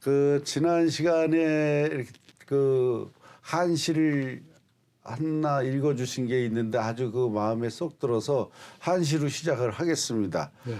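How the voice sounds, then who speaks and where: A man speaks at a very slow pace in a dark, mellow tone. His pitch is fairly high. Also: ordinary pitch variation. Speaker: TV program host. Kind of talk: interview-style educational TV discussion.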